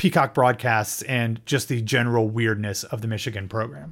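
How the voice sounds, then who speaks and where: A man with an ordinary speaking voice and a medium pitch talks at a fairly quick pace on a very clean recording with a silent background. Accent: American. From Ohio. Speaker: college football podcast host. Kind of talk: casual chat.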